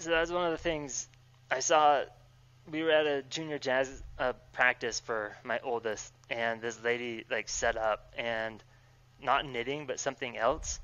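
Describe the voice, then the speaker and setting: This man's pitch is medium and varies in an ordinary way. He talks fairly slowly. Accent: Utah. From Utah, Salt Lake City (West Valley City). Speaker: electrical engineer, amateur cyclist. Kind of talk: casual chat. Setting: video call.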